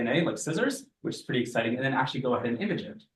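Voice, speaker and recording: Somewhat breathy, a man talks at a very fast pace. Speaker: teaching assistant. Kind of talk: lecture. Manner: animated.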